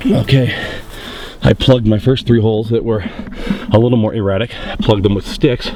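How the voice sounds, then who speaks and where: Over noticeable background noise, a man talks at a fairly quick clip with long, frequent pauses and fairly even intonation. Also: medium pitch for a man. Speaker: hunter. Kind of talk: outdoor vlog commentary. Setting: outdoors. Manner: loud.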